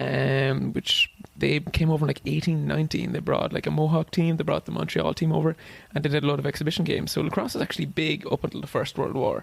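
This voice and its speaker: Talking at a very fast pace, a man with an Irish accent keeps his loudness very even. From Ireland, Wexford (southeast). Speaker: ultra runner and cancer researcher. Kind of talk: casual chat.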